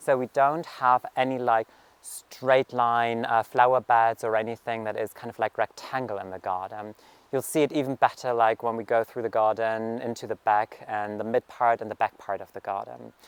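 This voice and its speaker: The speaker has a German accent and a moderate pace with fairly even intonation. Loudness swings widely in a dry, close sound with no echo. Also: man, medium pitch for a man. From Germany, rural farming community. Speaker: gardening vlogger. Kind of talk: garden tour vlog. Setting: outdoors in garden. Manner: casual, filler-heavy.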